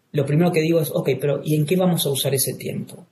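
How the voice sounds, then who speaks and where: A man speaks very fast in a somewhat breathy voice. The room's echo is audible. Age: 40s. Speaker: clinical psychologist. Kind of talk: interview. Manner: halting, with repetitions.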